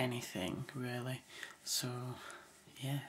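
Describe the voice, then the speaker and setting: Quiet speech at a very slow pace over light background noise. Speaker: vlogger. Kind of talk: casual vlog. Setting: home at night. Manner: quiet, hushed; hesitant, many fillers. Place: home room. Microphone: webcam.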